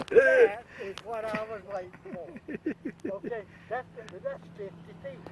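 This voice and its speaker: Noticeable background noise surrounds a high-pitched man who talks at a very slow pace with big swings in loudness. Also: ordinary pitch variation. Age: 80s+. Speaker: model airplane hobbyist. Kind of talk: casual video introduction. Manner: halting, many fillers.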